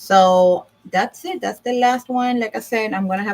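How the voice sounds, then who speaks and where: The speaker has a Puerto Rican accent and uses ordinary pitch variation. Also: woman. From Puerto Rico. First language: Spanish. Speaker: divorce service owner and vlogger. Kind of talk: casual livestream talk. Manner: halting, with fillers.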